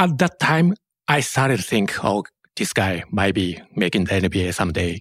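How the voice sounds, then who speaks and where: With a Japanese accent, a man speaks in a fairly low pitch at a moderate pace with lively intonation, his voice dry and close with no echo in a very clean recording with a silent background. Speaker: sports journalist. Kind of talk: casual interview.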